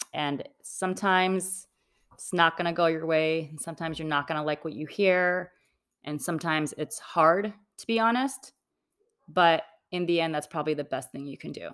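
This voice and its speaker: Recorded very cleanly over a silent background, a woman speaks at a moderate pace in a fairly low pitch with ordinary pitch variation. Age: 40s. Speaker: real estate developer, former attorney. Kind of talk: personal interview. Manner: hesitant with frequent ums.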